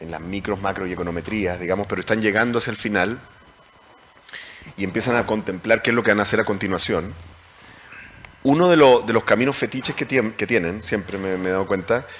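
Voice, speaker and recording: A man with a Chilean accent talks at a fairly quick pace, with ordinary pitch variation and long, frequent pauses. Noticeable background noise runs behind him. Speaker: moderator, economics professor. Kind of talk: panel discussion. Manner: halting.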